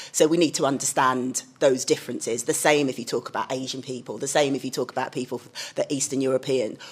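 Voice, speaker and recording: A woman with a London accent and a very deep, low pitch rattles along at a very fast pace in a monotone with flat intonation. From London, England. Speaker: communications director. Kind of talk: panel discussion.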